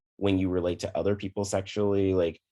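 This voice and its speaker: The male voice sits very deep and low. Behind it, all is quiet. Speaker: psychiatrist. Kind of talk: interview. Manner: calm, relaxing; energetic.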